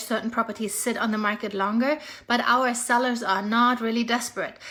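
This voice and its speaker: A high-pitched woman speaks at a fairly quick pace with a German accent. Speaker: real estate agent. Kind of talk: casual vlog update. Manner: animated.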